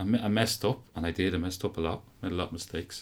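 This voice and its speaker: A man talks at a fairly quick pace in an Irish Midlands accent. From Ireland, County Offaly. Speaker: university lecturer in coaching science. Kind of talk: interview.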